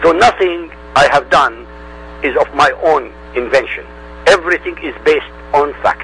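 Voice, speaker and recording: The speaker has an Arabic accent, and there is noticeable background noise. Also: man. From Middle East. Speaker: independent religion researcher. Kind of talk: interview.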